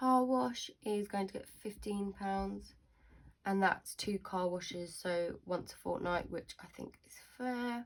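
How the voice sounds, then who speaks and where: Very slowly, a woman talks at a medium pitch with an ordinary pitch variation in a southern English accent. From southern England. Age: 20s. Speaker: budgeting vlogger. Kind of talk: casual tutorial.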